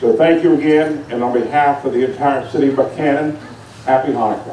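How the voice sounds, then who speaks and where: Over noticeable background noise and audible room echo, a man with an American accent and a fairly high pitch talks at a fairly quick pace with fairly even intonation. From West Virginia (Buckhannon). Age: 60s. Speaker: city official. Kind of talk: public speech. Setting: outdoors. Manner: formal.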